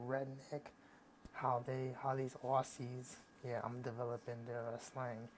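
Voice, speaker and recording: Monotone and flat, this man speaks at a fairly slow pace. He has an American accent and a medium pitch. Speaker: YouTuber. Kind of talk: casual vlog. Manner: halting, many fillers and restarts.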